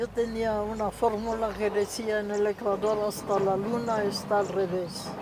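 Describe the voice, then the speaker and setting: A woman's medium-pitched voice, fairly slow and almost unbroken by pauses, with a flat, monotone delivery over noticeable background noise. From Czechia, Prague. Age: 80s+. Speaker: interviewee, immigrant. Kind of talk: interview, reminiscence.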